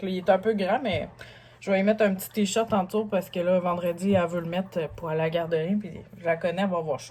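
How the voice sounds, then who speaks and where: A woman talks at a very fast pace in a medium pitch with fairly even intonation. Her loudness swings widely. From Lévis, Quebec. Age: 30s. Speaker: single mother vlogger. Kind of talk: casual haul vlog talk to camera.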